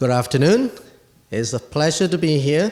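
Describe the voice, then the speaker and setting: A man with a Chinese accent, against noticeable background noise. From Asia, Chinese. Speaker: guest commentator at a medical poetry event. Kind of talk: prepared speech.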